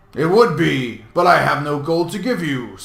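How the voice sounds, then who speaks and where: At a moderate pace, a man uses a put-on character voice pitched fairly high. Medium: read story. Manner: blunt, coarse.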